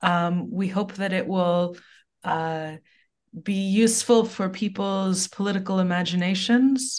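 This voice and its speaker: Against a quiet background, a woman with a normal speaking voice talks at a fairly slow pace, medium pitch and fairly even intonation. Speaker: literature professor. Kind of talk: podcast interview.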